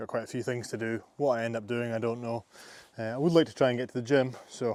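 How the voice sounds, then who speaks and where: With a Scottish accent, a man talks very fast at a medium pitch, keeping his intonation fairly even. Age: 20s. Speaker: landscaping business owner. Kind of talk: casual vlog talk to camera.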